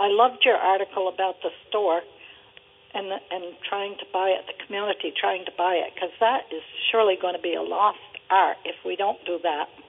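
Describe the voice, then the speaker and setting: Over noticeable background noise, a woman speaks at a fairly quick pace with a medium pitch. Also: fairly even intonation. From Vermont. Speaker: caller. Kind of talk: casual chat. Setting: phone call.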